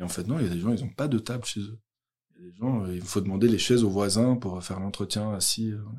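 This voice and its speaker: Loudness swings widely throughout. The pace is fairly quick, and the pitch varies in an ordinary way. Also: man, fairly low pitch for a man. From Belgium, Brussels. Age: 30s. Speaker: youth social worker. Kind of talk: interview testimony. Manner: hesitant.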